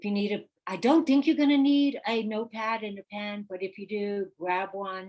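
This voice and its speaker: A woman speaks at medium pitch and a moderate pace in an ordinary speaking voice. Her pitch varies in an ordinary way, while her loudness swings widely. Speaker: real estate coach. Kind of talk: live webinar workshop.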